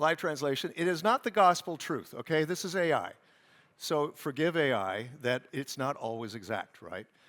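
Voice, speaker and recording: On a very clean recording with a silent background, a man with a fairly high pitch and vocal fry talks in an animated tone at a moderate pace, his pitch swinging very widely. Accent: American. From California. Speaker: conference moderator, journalist. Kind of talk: event stage moderation. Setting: stage with live audience, streamed. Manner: animated, conversational.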